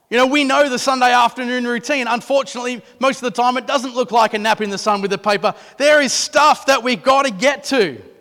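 With an Australian accent, a man talks at a very fast pace with hardly any pauses, his raised, projected voice bright and sharp in tone and extremely high in pitch. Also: ordinary pitch variation. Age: 30s. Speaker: pastor. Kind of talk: sermon. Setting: church.

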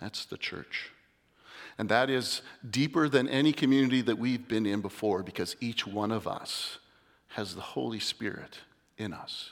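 On a very clean recording with a silent background, a man speaks at a fairly slow pace. His pitch is medium, with ordinary variation. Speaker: lay preacher. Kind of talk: sermon. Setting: church. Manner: nervous, shaky.

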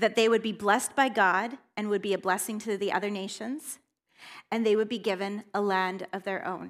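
A woman with a plain, everyday voice speaks at a medium pitch and a moderate pace. Her intonation is fairly even in a very clean recording with a silent background. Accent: Canadian. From northern British Columbia, Canada. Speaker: guest preacher. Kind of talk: sermon. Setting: church with congregation.

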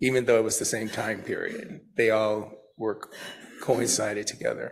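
The voice is somewhat breathy and moves at a moderate pace, with audible room echo. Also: man. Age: 50s. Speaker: recovery speaker. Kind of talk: testimony. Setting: church.

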